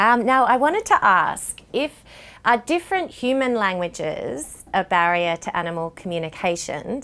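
With a clear, smooth and fairly bright tone, a woman talks at a fairly slow pace.

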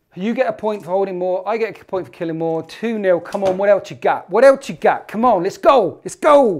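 With a British accent, a man talks at a fairly quick pace in a high pitch with ordinary pitch variation, over light background noise. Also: hardly any pauses. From UK. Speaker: tabletop wargaming YouTuber. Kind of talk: casual banter during a tabletop game. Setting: studio. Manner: animated. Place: studio.

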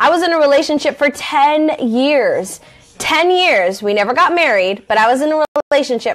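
Her intonation rises and falls in a lively way. The speaker is a woman. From Southern California. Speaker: life coach; life coach host. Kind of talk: casual talk to camera. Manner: conversational, with fillers. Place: home room. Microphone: phone near.

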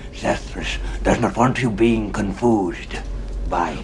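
A man uses a put-on character voice at a fairly slow pace. Loud background noise runs behind him. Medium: dub. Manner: broken grammar, self-pitying.

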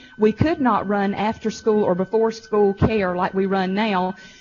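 The intonation is fairly even, with music playing in the background. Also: woman. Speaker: school district administrator presenting to school board. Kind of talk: board meeting presentation. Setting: school board work session in high school venue. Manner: fast.

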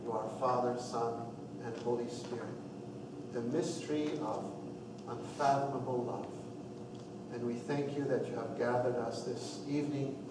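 A man at a moderate pace with long, frequent pauses, noticeable background noise and audible room echo. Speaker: priest leading RCIA class. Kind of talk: opening prayer. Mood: calm, devout. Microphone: camera far.

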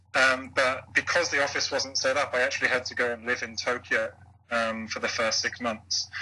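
The voice belongs to a man with a British accent. He keeps a moderate pace. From UK. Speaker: blogger and former English teacher. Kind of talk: interview.

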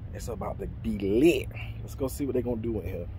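Against noticeable background noise, a man talks at a very fast pace with a dry sound and no echo. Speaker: food vlogger. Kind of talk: casual vlog chat. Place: car. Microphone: phone near.

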